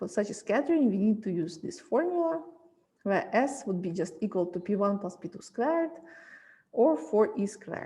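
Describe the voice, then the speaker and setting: Somewhat breathy and dark, mellow in tone, a woman speaks at a moderate pace and a fairly high pitch with very wide pitch swings. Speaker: physics lecturer. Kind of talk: lecture.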